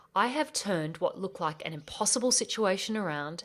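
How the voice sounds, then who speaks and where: Speech in an Australian accent moves at a moderate pace with lively intonation. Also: woman. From Australia, rural bush. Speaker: podcast host, life coach. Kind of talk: podcast intro monologue.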